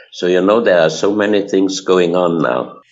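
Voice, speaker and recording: A man speaks while music plays in the background. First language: German. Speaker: researcher of ancient mysteries. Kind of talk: interview. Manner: halting, many fillers.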